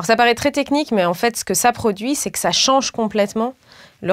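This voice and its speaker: A woman at a fairly quick pace with ordinary pitch variation against a quiet background. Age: 30s. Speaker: political candidate and professor; candidate, professor. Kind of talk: political interview. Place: studio. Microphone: lapel.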